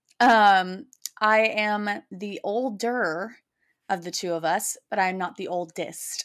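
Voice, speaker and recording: On a very clean recording with a silent background, a woman has an unremarkable speaking voice, medium in pitch with ordinary pitch variation. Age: 30s. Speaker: podcast co-host. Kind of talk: casual chat.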